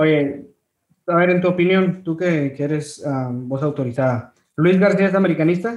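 Here a man talks with an ordinary speaking voice at a moderate pace. His pitch is fairly high, with ordinary variation. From Ciudad Victoria, Mexico. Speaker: podcast host. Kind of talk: casual interview.

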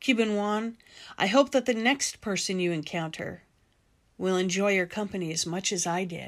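A woman with a normal speaking voice talks at a moderate pace and medium pitch. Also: ordinary pitch variation, very clean recording, silent background. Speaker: podcast host. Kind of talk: personal storytelling narration. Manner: reflective.

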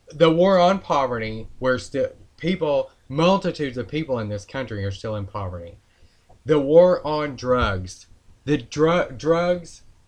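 Against a quiet background, a man with an ordinary speaking voice and a fairly high pitch speaks at a fairly slow pace with lively intonation. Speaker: podcast co-host, political commentator. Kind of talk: casual political commentary podcast.

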